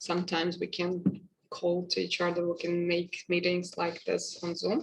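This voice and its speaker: Vocal fry runs through speech delivered at a fairly slow pace. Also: woman. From Russia. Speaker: English teacher. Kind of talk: webinar talk. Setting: video call. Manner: halting, many fillers.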